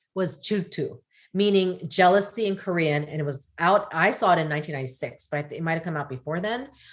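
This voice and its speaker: A woman speaks in a normal speaking voice, medium in pitch with lively intonation, on a very clean recording with a silent background. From US. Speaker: podcast guest. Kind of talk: casual chat.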